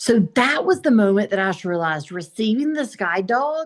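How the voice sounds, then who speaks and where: A woman with a Southern US accent and a fairly high pitch speaks at a moderate pace with lively intonation against a quiet background. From US South, South Carolina. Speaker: blind motivational speaker. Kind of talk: interview.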